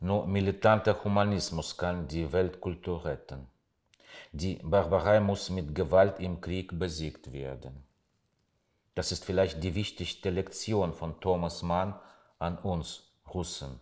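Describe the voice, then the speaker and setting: Against a quiet background, a man with a very deep, low pitch and ordinary pitch variation speaks at a very slow pace with long, frequent pauses. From Russia. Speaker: writer. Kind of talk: reading aloud. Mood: calm, serious, reflective. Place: home room. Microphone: lapel.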